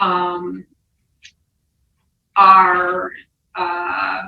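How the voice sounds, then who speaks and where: A woman's bright, sharp tone with vocal fry. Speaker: nutrition lecturer. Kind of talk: lecture. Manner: casual.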